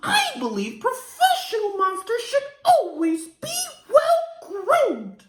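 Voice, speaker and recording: This put-on character voice sits at an extremely high pitch with very wide pitch swings. It moves at a fairly slow pace. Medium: read story. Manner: refined, courteous.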